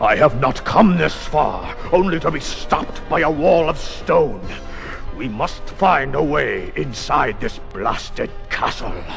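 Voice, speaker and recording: Over loud background music, a man uses a raspy put-on character voice at a fairly slow pace. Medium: audio drama. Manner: imperious, menacing.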